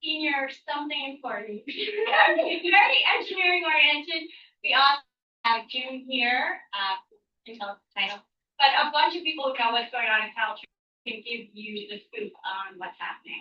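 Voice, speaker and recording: A woman's high-pitched voice at a moderate pace, full of very wide pitch swings and big swings in loudness. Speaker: town council meeting chair. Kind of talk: meeting chairing. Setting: town council meeting. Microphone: microphone battery problem.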